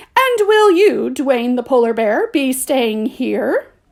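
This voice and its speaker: A woman uses a put-on character voice, pitched high and delivered at a fairly slow pace. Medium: read story. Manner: well-spoken, curt.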